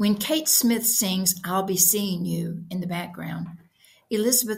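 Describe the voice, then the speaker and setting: A woman's fairly low voice with vocal fry, moderate pace and ordinary pitch variation. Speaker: author reading own story. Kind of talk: short fiction reading.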